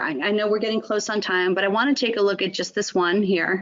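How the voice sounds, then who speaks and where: A woman talks at a very fast pace. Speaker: nutrition educator. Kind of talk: webinar presentation. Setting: online webinar.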